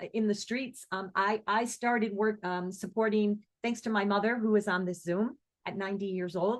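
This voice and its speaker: This woman has an unremarkable speaking voice, fairly high in pitch. She talks at a moderate pace with ordinary pitch variation. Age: 60s. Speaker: singer and music teacher, activist. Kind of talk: online presentation Q&A. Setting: video call.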